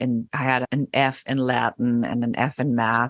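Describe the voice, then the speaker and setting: A woman's very deep, low voice with a slight German accent, in a dry, close sound with no echo. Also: quiet background. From Germany. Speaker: business coach. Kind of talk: podcast interview.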